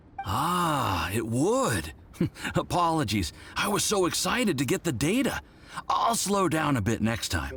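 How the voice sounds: Putting on a cartoonish character voice, a man speaks at a fairly slow pace in a fairly high pitch, with a fairly bright tone and very wide pitch swings.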